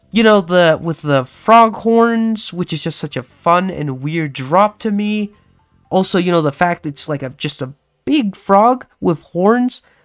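Music plays in the background. The speaking pace is fairly slow. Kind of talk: gaming commentary. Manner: casual, rambling.

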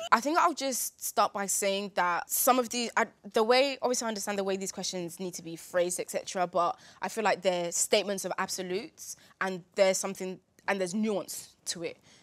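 Against a quiet background, a woman speaks with ordinary pitch variation and big swings in loudness. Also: fairly quick pace. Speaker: debate show cast member. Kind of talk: discussion opinion. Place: studio.

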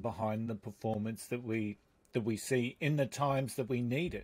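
A man speaks at a medium pitch. His pace is moderate and his pitch variation is ordinary. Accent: Australian. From Australia. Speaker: podcast host and leadership coach. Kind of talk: interview conversation. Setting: remote call. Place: studio. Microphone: studio mic.

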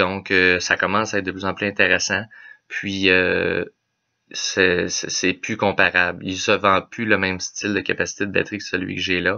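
A man talks at a moderate speed, with little sound around him. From Quebec. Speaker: automotive technician; car vlogger. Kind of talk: casual explainer video. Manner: halting, many filler words. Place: home room. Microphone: webcam.

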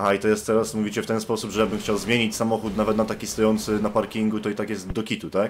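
A very fast, fairly low-pitched male voice with monotone, flat intonation and hardly any pauses. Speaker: gaming youtuber. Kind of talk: gaming let's play commentary. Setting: online voice chat while gaming. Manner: casual, joking.

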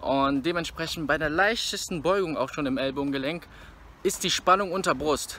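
This man's voice is high in pitch, with a bright, sharp tone. He keeps a moderate pace. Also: dry sound with no echo. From Rhineland, Germany (Bergheim near Cologne); Rhineland, Germany. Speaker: fitness vlogger. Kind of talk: casual vlog talk to camera. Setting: gym. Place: street. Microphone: phone near.

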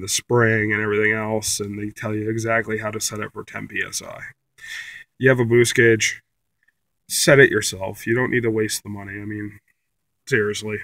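At a moderate pace, a man speaks in a monotone, flat intonation with long, frequent pauses, his dry sound free of echo over a quiet background. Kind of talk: tutorial. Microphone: phone near.

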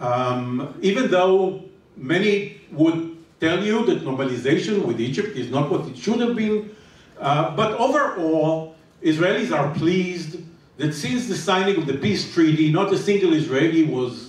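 A man speaks at a moderate pace. Room echo is audible. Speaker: panelist. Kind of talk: panel discussion answer. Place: hall.

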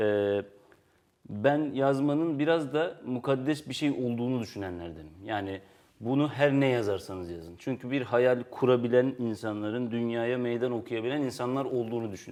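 A man has a normal speaking voice, medium pitch, ordinary pitch variation and a moderate pace. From Turkey. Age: 30s. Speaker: writer and editor. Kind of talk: interview.

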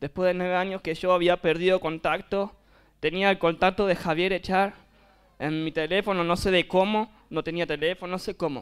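A man speaks at a moderate pace in a high, monotone voice with flat intonation, on a very clean recording with a silent background. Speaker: youth mission worker. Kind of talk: testimony.

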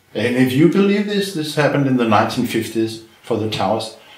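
Very wide pitch swings mark a man's speech over noticeable background noise. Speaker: retired chemistry professor. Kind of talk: interview. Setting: filmed interview.

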